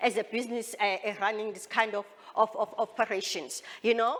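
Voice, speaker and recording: A woman speaks at a fairly quick pace over noticeable background noise. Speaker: drone company founder and presenter. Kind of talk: expo presentation. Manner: fast; halting, repeats words.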